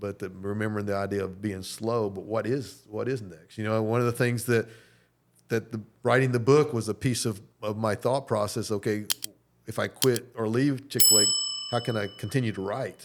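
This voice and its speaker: Fairly low-pitched man with an American accent, fairly even intonation and a moderate pace. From North Carolina. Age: 60s. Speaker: business executive and restaurant owner. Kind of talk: interview. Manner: halting.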